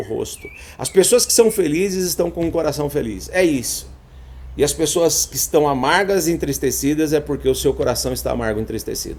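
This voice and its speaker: A man speaks with a Brazilian accent. His pace is moderate. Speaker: therapist. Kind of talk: live stream talk. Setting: live stream.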